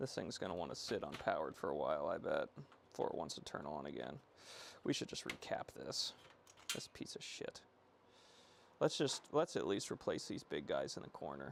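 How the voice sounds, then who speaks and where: The speaker mumbles at a fairly quick pace, leaving long, frequent pauses. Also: man. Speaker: electronics repair streamer. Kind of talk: live stream repair chat. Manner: mumbling.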